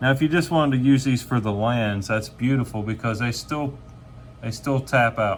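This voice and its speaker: At a moderate pace, a man speaks in a plain, everyday voice with medium pitch and ordinary pitch variation. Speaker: gaming channel host. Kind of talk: card unboxing commentary.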